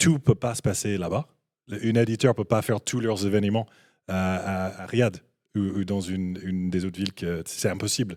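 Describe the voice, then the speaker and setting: Recorded very cleanly against a silent background with a dry, close sound and no echo, a man speaks fairly low at a moderate pace with fairly even intonation. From Canada. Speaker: esports business guest. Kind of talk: panel discussion. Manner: halting, many hesitations.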